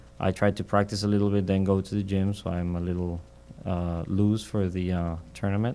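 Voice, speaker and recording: In a Mexican accent, a man speaks at a fairly quick pace and fairly low pitch, with a dark, mellow tone and monotone, flat intonation. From Mexico. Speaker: professional golfer. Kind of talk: interview. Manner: halting.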